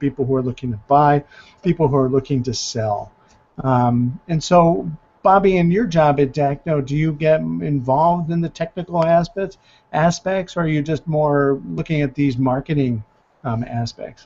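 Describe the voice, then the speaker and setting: With ordinary pitch variation, a man talks at a moderate pace and a fairly high pitch. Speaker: real estate agent and show host. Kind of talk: panel discussion. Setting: video call. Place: home room. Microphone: headset.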